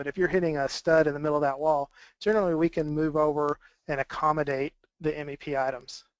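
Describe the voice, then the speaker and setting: Fairly quick in pace, a man speaks in a fairly high pitch. His is an unremarkable speaking voice with fairly even intonation. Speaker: BIM manager at a drywall contractor. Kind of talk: webinar presentation. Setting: webinar broadcast.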